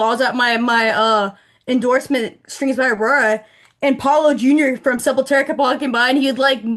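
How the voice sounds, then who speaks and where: Loud and animated, a woman talks at a moderate pace with a high pitch. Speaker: bassist. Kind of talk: casual chat.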